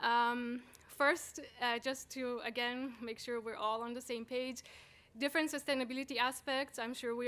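A woman speaks at a moderate pace in a high voice. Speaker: conference presenter. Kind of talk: lecture. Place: hall. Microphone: podium.

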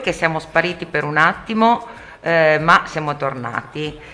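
This woman has a fairly low pitch and a bright, sharp tone. Her intonation is lively. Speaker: radio host. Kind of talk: radio talk show.

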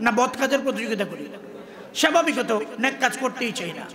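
A man talks in a raised, projected voice at an extremely high pitch, with an animated tone and ordinary pitch variation. Noticeable background noise runs underneath. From Bangladesh, Chandpur; Bangladesh. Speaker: Islamic preacher. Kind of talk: sermon. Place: stage. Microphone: podium.

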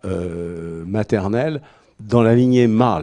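The background is quiet. A man speaks very slowly at a fairly low pitch. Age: old. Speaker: medical doctor; conference speaker. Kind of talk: discussion. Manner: halting. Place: hall. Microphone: handheld.

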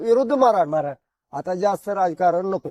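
The recording of a man is dry and close, with no echo. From Sangli district, Maharashtra. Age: 70s. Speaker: retired wrestler and pilgrim. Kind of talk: interview.

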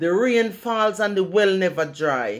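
A woman speaks with a Jamaican accent over faint background music. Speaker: poet. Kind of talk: poetry reading. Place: home room. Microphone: studio mic.

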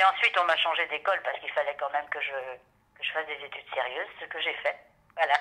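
A woman's very deep, low voice with lively intonation at a fairly quick pace, over noticeable background noise. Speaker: voice actress. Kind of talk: interview. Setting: at her home. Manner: hesitant.

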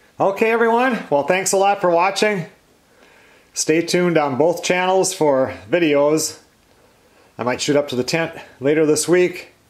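Against a quiet background, a man with a high pitch speaks with long, frequent pauses. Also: ordinary pitch variation, moderate pace. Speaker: woodworker vlogger. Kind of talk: casual vlog chat. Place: workshop. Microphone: camera far.

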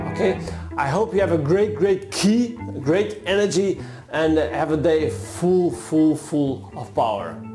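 A man with a non-native accent speaks at a fairly slow pace and a fairly high pitch, with very wide pitch swings. Clear music plays in the background. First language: not English. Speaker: martial artist, self-development coach. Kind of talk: casual talk to camera. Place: studio. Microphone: lapel.

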